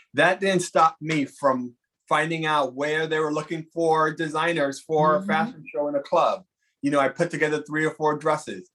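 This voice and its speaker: A man speaks with an unremarkable speaking voice and an American accent, his pitch fairly high. His intonation stays fairly even at a moderate pace. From New York, the Bronx. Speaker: Broadway costume designer. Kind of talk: casual chat.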